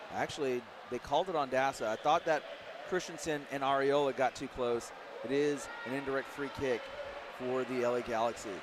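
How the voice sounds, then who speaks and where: With an American accent, a man speaks at a fairly high pitch and a fairly quick pace, his intonation fairly even against noticeable background noise. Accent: Midwestern, occasional. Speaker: play-by-play sports commentator. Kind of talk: live commentary. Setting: broadcast booth at a live match.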